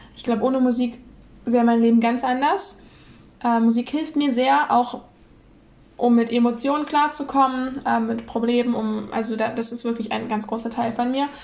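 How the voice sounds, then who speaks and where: With long, frequent pauses, a woman speaks at a moderate pace in a high voice with fairly even intonation. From northern Germany, Kiel. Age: 20s. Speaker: podcast co-host. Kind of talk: casual chat.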